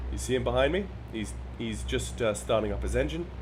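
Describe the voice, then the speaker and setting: Music plays in the background as a man talks at a very fast pace. His very deep, low voice carries audible room echo. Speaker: flight sim streamer. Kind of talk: gameplay commentary. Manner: halting, repeats words.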